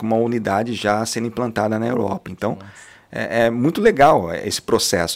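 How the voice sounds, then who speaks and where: This man's pitch is medium. He talks at a moderate pace. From Londrina, Paraná, Brazil. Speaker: franchise owner, entrepreneur. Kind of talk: podcast interview.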